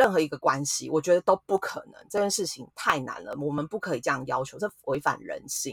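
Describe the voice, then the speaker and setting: Fairly quick delivery with hardly any pauses. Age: 40s. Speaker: podcast host. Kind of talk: casual chat.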